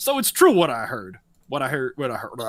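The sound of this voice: This man puts on a gruff character voice, pitched fairly high. He talks at a fairly quick pace.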